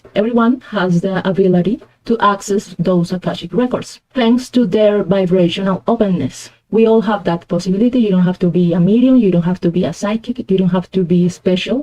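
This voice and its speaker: Speaking at a fairly quick pace with hardly any pauses, a woman has a dark, mellow tone, medium pitch, ordinary pitch variation and very even loudness. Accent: Spanish. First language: Spanish. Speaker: tarot reader. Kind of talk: tarot reading.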